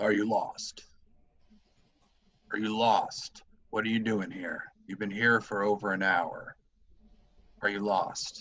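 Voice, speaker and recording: In a gruff, put-on character voice, a man speaks at a fairly low pitch and a fairly slow pace. Long, frequent pauses break up his lines. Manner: gruff, demanding, interrogating.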